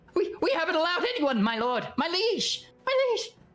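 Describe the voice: Over faint background music, a man puts on a character voice with an extremely high pitch, big pitch swings, a fairly bright tone and a moderate pace.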